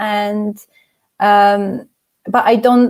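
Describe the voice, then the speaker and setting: The speaker has a slight non-native accent and fairly even intonation. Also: woman. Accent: slight non-native cadence. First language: not English. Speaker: debut fantasy novelist. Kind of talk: interview conversation. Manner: hesitant, many fillers and repeats.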